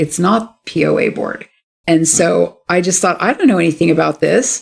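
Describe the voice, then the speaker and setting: At a moderate pace, a woman with an American accent talks with vocal fry. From California, San Francisco Bay Area. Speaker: local political candidate and clinical supervisor. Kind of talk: interview.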